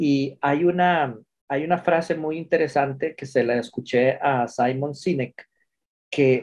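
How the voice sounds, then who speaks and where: With a Costa Rican accent, a man speaks at a very slow pace. His pitch is fairly high, with ordinary variation. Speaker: pharmacist. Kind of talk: webinar comment.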